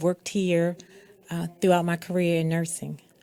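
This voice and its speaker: A woman with a Baltimore accent speaks in a fairly low pitch with a dark, mellow tone. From Baltimore, Maryland. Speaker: nurse and pageant titleholder. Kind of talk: radio interview.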